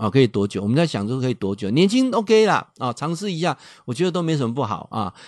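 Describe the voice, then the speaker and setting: A medium-pitched man at a very fast pace, animated, with very wide pitch swings and a quiet background. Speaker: radio host and professor. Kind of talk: radio talk monologue. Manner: animated, many filler particles.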